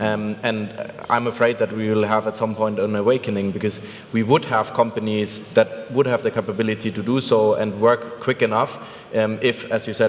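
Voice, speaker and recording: A man with a German accent and medium pitch, fairly quick and monotone with flat intonation, amid noticeable background noise. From Germany. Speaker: venture capital investor. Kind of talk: conference panel discussion.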